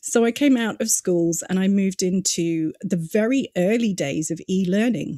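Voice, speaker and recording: With a British accent, a woman speaks in a dark, mellow tone with ordinary pitch variation, recorded dry and close with no echo. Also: medium pitch for a woman, moderate pace. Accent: British, says listeners can tell. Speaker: digital marketing consultant. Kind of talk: podcast interview. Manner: conversational, many fillers.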